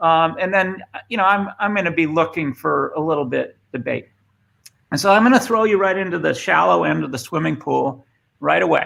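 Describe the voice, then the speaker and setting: Speaking at a fairly quick pace, a man talks with a Boston accent. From Boston, US. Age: 50s. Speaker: former tech executive and speaker. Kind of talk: presentation. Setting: remote video session. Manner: halting, many fillers.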